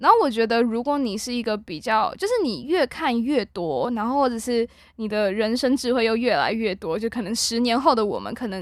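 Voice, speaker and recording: Fairly high-pitched and with an ordinary speaking voice, a woman talks at a fairly quick pace with hardly any pauses and lively intonation, in a very clean recording with a silent background. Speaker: university student podcast host. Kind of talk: casual chat.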